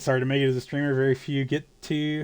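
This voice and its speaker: A man with a Southern US accent at a moderate pace, medium pitch and monotone, flat intonation, on a very clean recording with a silent background. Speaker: video game streamer. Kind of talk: casual live-stream chat. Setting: live stream. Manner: halting, with stammered restarts.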